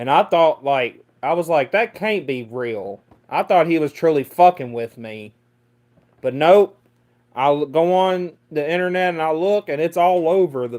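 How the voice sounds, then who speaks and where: A Mississippi accent with lively intonation. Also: man, fairly high pitch for a man, moderate pace. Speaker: livestreamer. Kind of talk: casual chat. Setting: livestream. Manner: halting.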